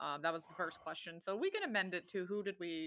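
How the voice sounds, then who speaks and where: Bright and sharp in tone, a woman's voice moves at a fairly quick pace. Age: 20s. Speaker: wrestling podcast co-host. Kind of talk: casual chat.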